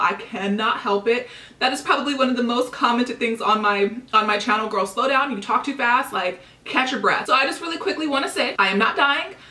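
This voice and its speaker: Noticeable background noise sits under speech at a fairly quick pace with ordinary pitch variation. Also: woman. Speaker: beauty vlogger. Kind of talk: casual vlog haul. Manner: very fast.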